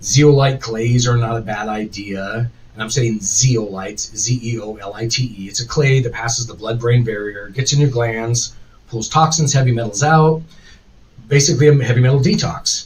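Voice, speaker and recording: A somewhat breathy voice at a moderate pace, with big swings in loudness and ordinary pitch variation. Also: man, medium pitch for a man. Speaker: podcast host. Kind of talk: live stream chat. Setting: live stream.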